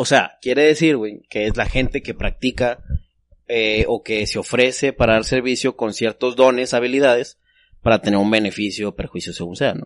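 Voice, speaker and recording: A man with a plain, everyday voice speaks at a moderate pace and medium pitch, his intonation fairly even, in a dry, close sound with no echo against a quiet background. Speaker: podcast host. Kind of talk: casual chat. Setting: studio.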